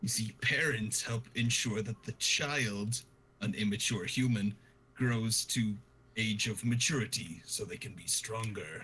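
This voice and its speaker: Fairly slow delivery in a put-on character voice. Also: man, medium pitch for a man. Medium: actual play. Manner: formal, polite wording.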